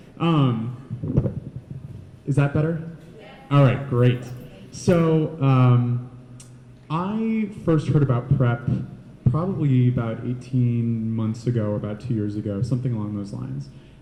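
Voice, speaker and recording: A man at a medium pitch and a fairly slow pace, with ordinary pitch variation, long and frequent pauses, noticeable background noise and audible room echo. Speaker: panelist sharing experience as a PrEP user. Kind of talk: panel talk. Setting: panel event with audience. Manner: quiet-spoken.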